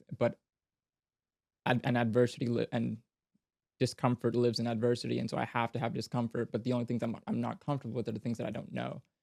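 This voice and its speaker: A man at a very fast pace, medium in pitch with vocal fry, in a dry, close sound with no echo. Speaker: fantasy author and podcaster. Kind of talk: casual interview conversation. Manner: halting, frequent self-corrections and fillers.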